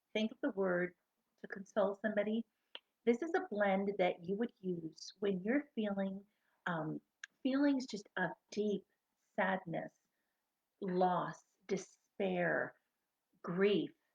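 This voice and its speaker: A soft-spoken, somewhat breathy woman at a medium pitch, very slow with long, frequent pauses and lively intonation, in a dry, close sound with no echo. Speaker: essential oils seller. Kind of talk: product tutorial.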